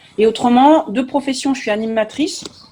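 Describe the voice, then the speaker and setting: Noticeable background noise runs beneath a woman talking at a moderate pace. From France, Nantes. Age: 40s. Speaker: youth activity leader and local candidate. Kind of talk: online panel interview.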